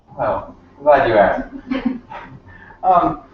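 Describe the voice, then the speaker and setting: A man's voice carries audible room echo. Noticeable noise runs in the background. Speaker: network marketing distributor. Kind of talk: role-play practice. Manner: fast.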